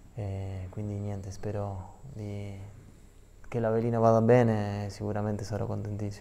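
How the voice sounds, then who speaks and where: With a dark, mellow tone, a man speaks at a fairly low pitch in monotone, flat intonation. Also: moderate pace. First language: Spanish (speaking Italian). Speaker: professional footballer; guest. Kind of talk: TV sports interview; interview answer. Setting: TV studio. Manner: halting. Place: studio. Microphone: lapel.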